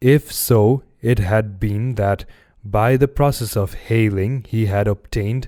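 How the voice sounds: Here is a natural reading voice. Its pitch varies in an ordinary way.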